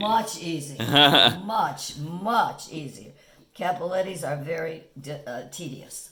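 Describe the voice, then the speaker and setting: The speech is very slow, with lively intonation and big swings in loudness. There is noticeable background noise. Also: woman, fairly low pitch for a woman. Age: 80s+. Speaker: home cook. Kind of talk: interview answer. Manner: casual, hesitant.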